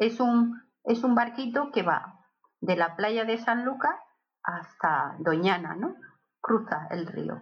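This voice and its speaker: A woman's fairly high, somewhat breathy voice at a very slow pace, with lively intonation. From Barcelona, Catalonia (born in Seville). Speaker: host's aunt and godmother. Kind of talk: casual family interview. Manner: halting, many repetitions.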